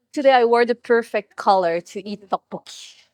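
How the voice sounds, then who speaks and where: A woman speaks with a French accent in a dry, close sound with no echo. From France. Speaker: mukbang guest. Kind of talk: casual chat. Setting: restaurant. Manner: eating while talking.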